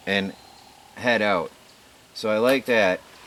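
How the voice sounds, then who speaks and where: Noticeable background noise behind a man's voice at medium pitch, its pitch variation ordinary. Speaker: outdoor gear youtuber. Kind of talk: product review, unscripted. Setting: outdoors. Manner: halting, stuttering.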